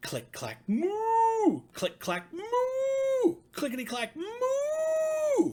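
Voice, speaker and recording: A man puts on a character voice at an extremely high pitch. He delivers it at a very slow pace. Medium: read story. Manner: polite, sing-song.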